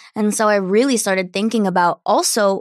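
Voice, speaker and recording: A woman with an American accent has a plain, everyday voice, a medium pitch and ordinary pitch variation. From New Jersey, US. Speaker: alternative singer-songwriter. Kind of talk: casual interview.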